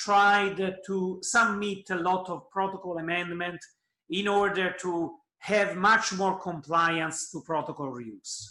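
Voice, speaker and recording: A man's raised, projected voice, high in pitch, with fairly even intonation and a fairly slow pace. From Italy. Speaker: oncologist. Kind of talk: conference presentation.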